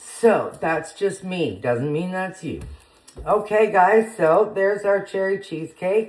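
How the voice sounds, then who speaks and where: A woman talks at a very slow pace. Noticeable background noise runs under her voice. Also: medium pitch for a woman, ordinary pitch variation. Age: 60s. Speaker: home cooking vlogger. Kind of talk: casual cooking vlog. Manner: chatty, informal with filler words.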